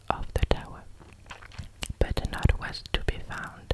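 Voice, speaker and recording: Very slow whispering with noticeable background noise. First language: French. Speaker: ASMR creator. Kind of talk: ASMR fairy tale reading. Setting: close microphone, studio. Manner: whispered.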